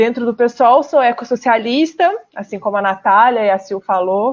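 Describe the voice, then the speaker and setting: In a Minas Gerais accent, a woman speaks at a fairly slow pace and a fairly high pitch with ordinary pitch variation. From Brazil, Minas Gerais. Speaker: political candidate, app driver. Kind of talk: radio interview.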